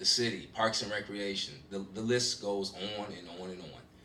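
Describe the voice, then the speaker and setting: A fairly low-pitched man with an American accent at a fairly quick pace, amid audible room echo and noticeable background noise. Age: 50s. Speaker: community member at forum. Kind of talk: public comment at community forum. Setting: public meeting.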